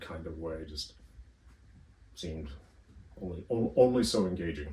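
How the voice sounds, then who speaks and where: A man with an American accent talks at a fairly slow pace, somewhat breathy, with ordinary pitch variation. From northern US. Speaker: history academic. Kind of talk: interview. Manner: hesitant, many fillers.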